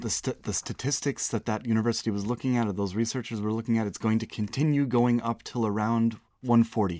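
A man uses an ordinary speaking voice at medium pitch. His pace is fairly quick and his intonation fairly even. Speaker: podcast co-host. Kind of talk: casual chat.

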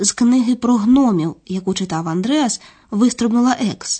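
A woman speaks at a fairly high pitch with a dark, mellow tone. Her pitch varies in an ordinary way, and her pace is moderate. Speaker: narrator of language course. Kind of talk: scripted narration.

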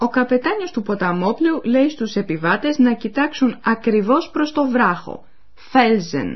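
Her intonation is lively, and her pitch is high for a woman. The woman speaks at a fairly slow pace. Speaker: language course presenter. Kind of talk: radio language lesson narration. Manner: formal.

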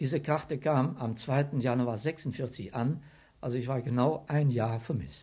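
A man's dark, mellow, somewhat breathy voice at medium pitch, fairly slow and fairly even in intonation, on a very clean recording with a silent background. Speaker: war veteran, retired civil servant. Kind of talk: interview testimony.

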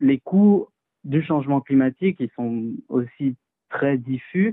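A man is speaking. His pace is very slow. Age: 20s. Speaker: climate and health activist. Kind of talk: interview.

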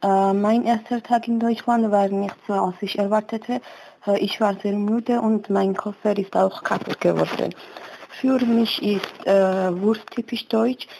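In a Georgian accent, a woman with medium pitch speaks at a very slow pace with fairly even intonation. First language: Georgian (speaking German). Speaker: German learner. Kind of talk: personal portrait monologue. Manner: halting, with filler sounds.

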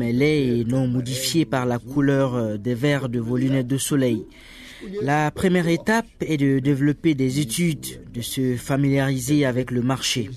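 A plain, everyday voice at a fairly slow pace, with fairly even intonation. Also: man. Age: 40s. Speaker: media entrepreneur. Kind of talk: interview.

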